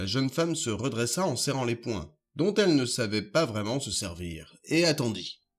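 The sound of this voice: Unforced reading voice, lively in intonation, with little background noise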